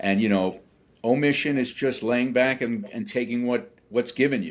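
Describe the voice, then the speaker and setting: Speaking at a moderate pace, a man has an ordinary speaking voice at medium pitch. His intonation is lively. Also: very clean recording, silent background. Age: 60s. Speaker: title insurance business owner. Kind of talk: interview.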